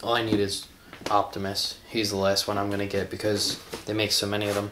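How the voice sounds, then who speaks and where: A man with a fairly low pitch speaks at a moderate pace over noticeable background noise. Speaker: toy collector video host. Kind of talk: casual toy unboxing vlog. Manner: hesitant, filler-heavy.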